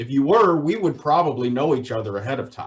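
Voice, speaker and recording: This man speaks with an American accent. His pitch sits fairly high. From US South, Virginia (Shenandoah Valley). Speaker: poultry water quality specialist. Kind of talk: webinar presentation. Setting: online webinar.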